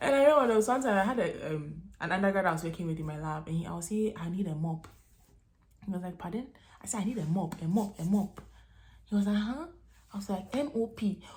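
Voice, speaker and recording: A woman speaks very fast at a medium pitch, her voice somewhat breathy and her intonation lively. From Ghana. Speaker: vlogger, international graduate student. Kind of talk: casual vlog talk to camera. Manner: animated, conversational.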